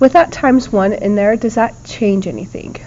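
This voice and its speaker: Noticeable background noise sits behind a woman's speaking voice. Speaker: math teacher. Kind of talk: lecture. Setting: recorded video lesson.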